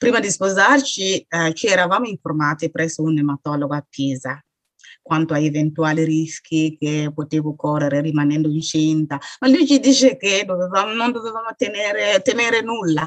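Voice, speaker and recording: A woman with an ordinary speaking voice and fairly low pitch talks at a moderate pace with lively intonation, in a dry, close sound with no echo. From Burkina Faso. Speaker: author and sickle cell patient. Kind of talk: interview testimony.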